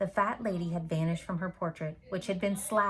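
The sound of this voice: Someone reads in an unforced voice, with intonation that stays fairly even.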